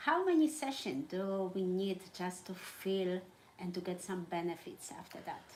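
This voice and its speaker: A woman with a non-native accent speaks at a medium pitch and a moderate pace. Her intonation is lively. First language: not English. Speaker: holistic therapist and host. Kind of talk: live conversational interview. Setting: live stream.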